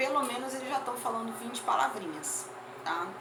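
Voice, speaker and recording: A woman's voice carries audible room echo. Noticeable background noise sits beneath it. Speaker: teacher. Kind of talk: lecture.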